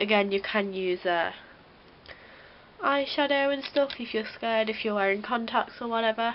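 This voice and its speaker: Her pitch fairly high with ordinary variation, a woman speaks at a fairly quick pace. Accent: British. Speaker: beauty vlogger. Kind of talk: tutorial. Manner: casual, chatty.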